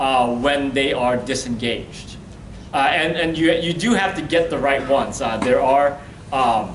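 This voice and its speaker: The speech moves at a fairly slow pace with ordinary pitch variation. Room echo is audible, and background noise is noticeable. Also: man, fairly high pitch for a man. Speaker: workshop presenter. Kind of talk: workshop lecture. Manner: loud.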